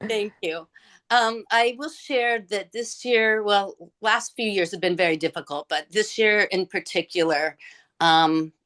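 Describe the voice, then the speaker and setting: In a plain, everyday voice, a woman talks at a fairly slow pace with lively intonation, the sound dry and close with no echo against a quiet background. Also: medium pitch for a woman. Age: 60s. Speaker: webinar participant. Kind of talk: personal sharing.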